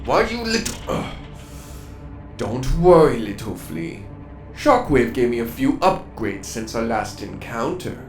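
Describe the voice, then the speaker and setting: Over clear music in the background, a man puts on a character voice at a medium pitch and a moderate pace. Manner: menacing, taunting.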